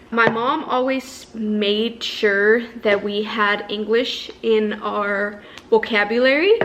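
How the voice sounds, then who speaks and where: With noticeable background noise behind her, a woman speaks at a fairly high pitch. Her pace is very slow, with hardly any pauses. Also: fairly even intonation. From northern Mexico, Ciudad Juarez (border with El Paso). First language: Spanish. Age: 20s. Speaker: beauty vlogger. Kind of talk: casual get-ready-with-me vlog talk.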